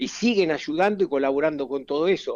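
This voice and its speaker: Against a quiet background, a man with a normal speaking voice talks fairly quickly at a fairly high pitch with ordinary pitch variation. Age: 60s. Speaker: football fitness coach. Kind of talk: interview.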